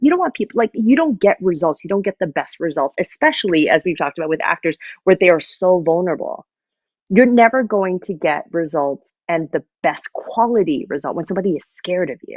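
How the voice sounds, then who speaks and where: A woman's unremarkable speaking voice, fairly low in pitch, with a Canadian accent, lively intonation and a fairly quick pace, in a dry, close sound with no echo against a quiet background. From Canada, Vancouver. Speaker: musical theater music director. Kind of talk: interview conversation.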